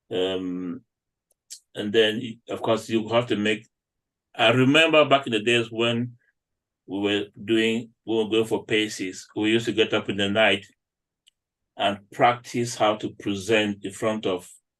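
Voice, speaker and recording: A man with a fairly low pitch and a non-native accent speaks at a fairly slow pace with fairly even intonation and long, frequent pauses, over a quiet background. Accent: non-native accent, noticeable to UK patients. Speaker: doctor. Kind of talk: panel discussion.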